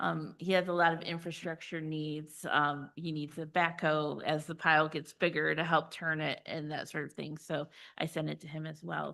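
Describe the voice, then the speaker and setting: In a quiet background, a woman talks with a very deep, low pitch, vocal fry, and a bright, sharp tone. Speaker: county program coordinator. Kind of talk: committee meeting report. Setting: public committee meeting. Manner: fast.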